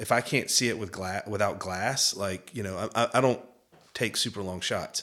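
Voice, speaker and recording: This man has a Southern US accent and a fairly low pitch, with a bright, sharp tone. He speaks at a moderate pace with fairly even intonation on a very clean recording with a silent background. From Georgia. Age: 40s. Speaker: hunting media executive. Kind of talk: casual chat.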